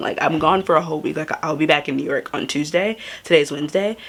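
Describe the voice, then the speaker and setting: Talking at a very fast pace with an American accent, a woman has a very deep, low pitch and an animated tone. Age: young. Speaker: travel vlogger. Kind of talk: casual vlog talk. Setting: Airbnb room, then outdoors.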